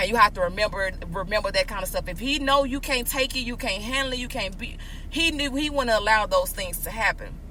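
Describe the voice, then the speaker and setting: A woman talks at a very fast pace, sounding animated. Noticeable background noise runs underneath. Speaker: podcast host. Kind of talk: casual chat. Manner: loud.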